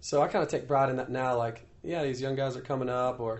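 With an American accent, the speaker moves along at a fairly quick pace. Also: man. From US Midwest, Iowa. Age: 30s. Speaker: professional motocross racer. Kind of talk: casual interview. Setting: on location in Paris.

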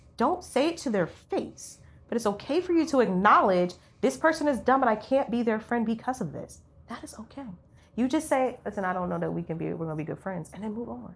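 With vocal fry and a fairly high pitch, a woman talks at a fairly quick pace in an animated tone, her pitch swinging very widely and her loudness rising and falling sharply. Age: 30s. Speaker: podcast co-host. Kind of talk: casual chat. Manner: quiet.

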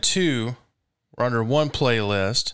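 In a very clean recording with a silent background, a man with a Southern US accent speaks at a medium pitch. His pace is very slow, with ordinary pitch variation. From Mississippi. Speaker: radio host. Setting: studio.

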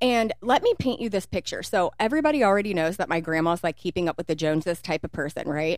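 With an American accent, a woman talks at a fairly quick pace in a normal speaking voice, her pitch medium. Her intonation is lively, and the recording is very clean with a silent background. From Kentucky, US. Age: 30s. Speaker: podcast co-host. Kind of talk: casual chat.

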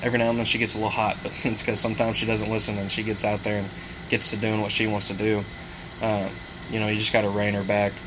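Over noticeable background noise, a man with an American accent talks at a very fast pace, fairly low in pitch and monotone, with flat intonation. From Missouri. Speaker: duck hunting podcast co-host. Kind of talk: casual chat.

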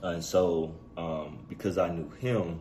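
The speaker has an American accent. Audible room echo and noticeable background noise fill the recording. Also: man. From Chicago South Side, US. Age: 40s. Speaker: podcast host. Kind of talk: personal storytelling monologue. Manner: casual with many fillers.

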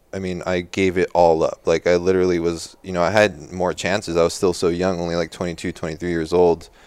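A soft-spoken man with a very deep, low pitch, monotone, flat intonation, and a moderate pace. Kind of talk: casual interview chat. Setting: studio. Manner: quiet, soft-spoken.

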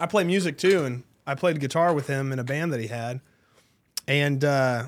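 A normal speaking voice from a man with an American accent, fairly high in pitch with ordinary pitch variation, at a fairly quick pace, on a very clean recording with a silent background. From North Texas, Tarrant County (Dallas-Fort Worth). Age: 30s. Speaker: real estate agent. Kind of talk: casual interview chat.

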